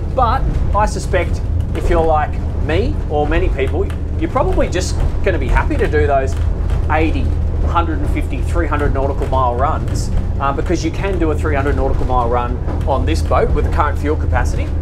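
A man talks at a fairly quick pace. Music plays in the background. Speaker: boat reviewer. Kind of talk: sea trial commentary. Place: boat.

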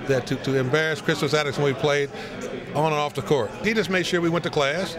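A man's fairly high voice with fairly even intonation over noticeable background noise. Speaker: former high school basketball player. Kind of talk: interview answer. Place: hall. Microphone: handheld.

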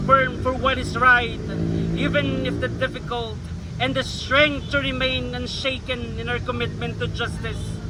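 A man with a Filipino accent speaks in a solemn tone at a fairly slow pace. Noticeable background noise is present. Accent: Filipino English and Tagalog. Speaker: rally prayer leader. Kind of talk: fervent prayer. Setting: outdoor public rally with crowd. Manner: solemn, earnest, pleading.

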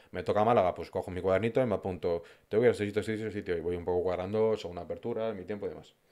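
Over a quiet background, a man speaks at a very fast pace with a fairly low pitch, a dark, mellow tone and fairly even intonation. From Madrid, Spain; Spain. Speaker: food influencer. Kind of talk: casual interview chat. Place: studio. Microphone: studio mic.

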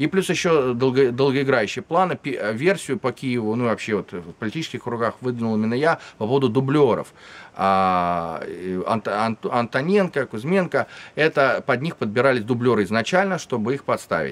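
Lively intonation from a man talking at a moderate pace. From Russia. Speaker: Russian opposition activist, political refugee; interviewee. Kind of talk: interview. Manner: halting. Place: garden.

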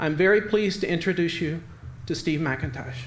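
A man with an American accent, high in pitch, at a fairly quick pace over light background noise. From US South, Roanoke, Virginia. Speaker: literary journal editor and event organizer. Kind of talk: speaker introduction. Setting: stage with audience. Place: hall. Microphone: podium.

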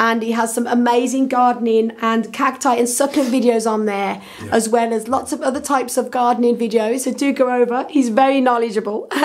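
A woman's high voice at a fairly quick pace over noticeable background noise. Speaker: gardening video creator. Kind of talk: casual tutorial vlog. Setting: at home. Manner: chatty, animated.

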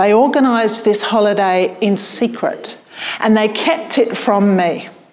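In a British accent, a woman speaks with a fairly high pitch. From UK. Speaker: public speaking coach and event host; public speaking coach, event host. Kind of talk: storytelling on stage; event hosting speech. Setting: stage with audience. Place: hall.

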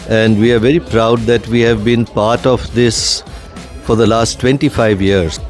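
At a fairly slow pace, a man speaks with fairly even intonation in a dry sound with no echo, with faint music in the background. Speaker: guest. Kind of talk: interview answer. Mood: proud, warm. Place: hall. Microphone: handheld.

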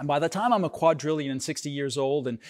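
A man's fairly high voice at a moderate pace, against a quiet background. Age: 50s. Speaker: pastor. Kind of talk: sermon. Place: stage. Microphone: lapel.

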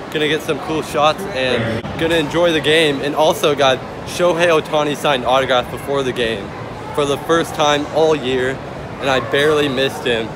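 Over noticeable background noise, a man's speech moves at a moderate pace. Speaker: fan vlogger. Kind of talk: casual vlog chat. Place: stadium. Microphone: phone near.

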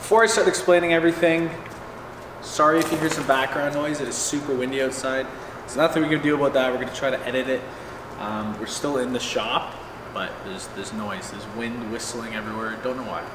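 Talking at a very fast pace, a man's loudness swings a lot over noticeable background noise. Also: ordinary pitch variation. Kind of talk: casual tour commentary. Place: garage. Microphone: camera far.

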